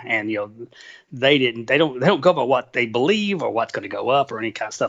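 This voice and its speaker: A man's pitch varies in an ordinary way as he talks very fast. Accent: strong Southern US. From Tennessee, US South. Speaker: trader and author. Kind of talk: interview. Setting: phone call.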